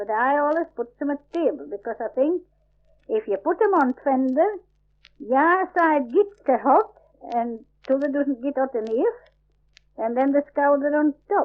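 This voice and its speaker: A woman's high-pitched voice carries lively intonation. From Yorkshire, England. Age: 70s. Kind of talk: dialect survey recording, describing a recipe. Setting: old field recording. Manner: casual, conversational.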